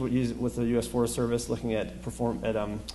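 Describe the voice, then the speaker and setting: Noticeable background noise and audible room echo surround the recording. A man speaks at a medium pitch. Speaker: urban ecologist and professor. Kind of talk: lecture. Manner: fast; halting.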